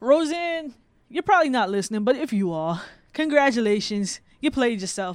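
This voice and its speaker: In a very clean recording with a silent background, the speaker talks at a moderate pace with an animated tone. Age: 30s. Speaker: podcast co-host. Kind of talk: casual chat.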